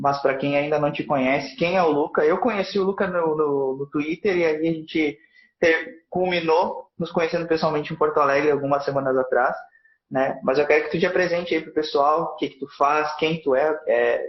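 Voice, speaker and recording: An ordinary speaking voice, this man's is fairly high in pitch, with fairly even intonation and a moderate pace. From southern Brazil, Rio Grande do Sul. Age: 20s. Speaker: live stream host. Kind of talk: casual interview on a live stream.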